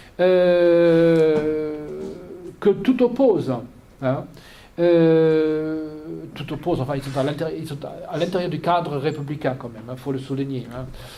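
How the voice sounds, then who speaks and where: Amid noticeable background noise and audible room echo, a man with a fairly high pitch talks very slowly, with long, frequent pauses, ordinary pitch variation and big swings in loudness. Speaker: political analyst. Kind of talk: lecture. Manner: halting.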